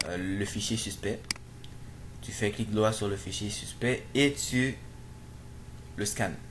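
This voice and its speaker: A man with a non-native accent speaks at a very slow pace and a fairly low pitch, with long, frequent pauses, fairly even intonation and audible room echo. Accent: non-native French accent, self-described. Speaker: programming tutorial youtuber. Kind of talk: screen-recorded tutorial. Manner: halting, many fillers and repetitions.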